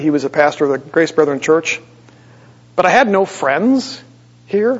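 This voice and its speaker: Noticeable background noise beneath a moderately paced, high male voice full of lively intonation. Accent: American. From Wisconsin, US Midwest. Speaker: pastor. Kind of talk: sermon.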